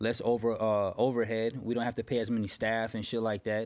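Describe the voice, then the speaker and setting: Against a quiet background, a man of medium pitch with an American accent talks at a fairly quick pace in a monotone, flat intonation. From Florida. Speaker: barber. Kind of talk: casual chat.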